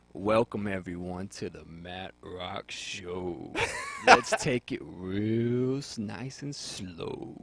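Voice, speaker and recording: A man's put-on character voice, fairly low-pitched with ordinary pitch variation, very slow, with big swings in loudness. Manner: smooth, slow, laid-back.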